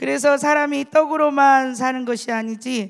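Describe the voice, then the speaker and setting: On a very clean recording, the background is silent. A woman talks at moderate speed, her pitch varying in an ordinary way. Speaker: church deaconess giving testimony. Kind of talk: testimony.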